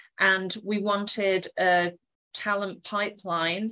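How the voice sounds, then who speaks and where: Against a quiet background, a woman with an English accent speaks at medium pitch in a bright, sharp tone. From England. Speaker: corporate HR professional. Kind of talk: webinar presentation.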